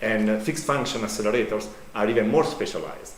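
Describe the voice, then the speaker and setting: Over noticeable background noise and audible room echo, a man speaks very fast with ordinary pitch variation. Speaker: professor. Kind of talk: conference talk. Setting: conference hall. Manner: loud.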